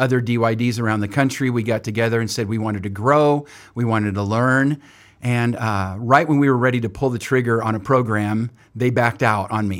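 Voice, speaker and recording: In a very clean recording with a silent background, a man with an American accent and a normal speaking voice talks at a medium pitch and a fairly quick pace. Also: fairly even intonation. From California (Oildale, near Bakersfield). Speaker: ministry leader and university program director. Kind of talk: interview.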